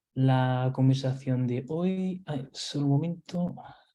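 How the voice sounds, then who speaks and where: A man's voice is medium in pitch with a dark, mellow tone and fairly even intonation. Audible room echo is present. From Portugal/Spain mixed upbringing. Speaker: nurse and simulation instructor. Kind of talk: webinar lecture. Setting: online webinar. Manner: hesitant, many fillers and repetitions.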